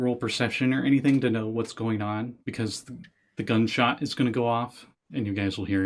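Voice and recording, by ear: Natural-voiced reading aloud, quiet behind it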